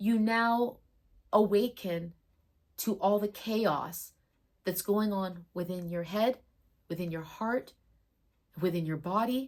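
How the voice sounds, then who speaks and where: A woman with a medium pitch and ordinary pitch variation speaks at a very slow pace with long, frequent pauses. The recording is very clean, with a silent background. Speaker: spiritual medium and astrology storyteller. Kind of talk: personal storytelling monologue. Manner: loud; emphatic, heated.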